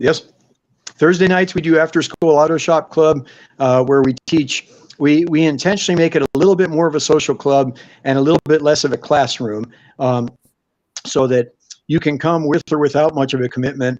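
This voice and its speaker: A normal speaking voice with fairly even intonation and a dry, close sound with no echo. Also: man, fairly high pitch for a man, very even loudness. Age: 60s. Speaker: evangelist. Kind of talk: interview.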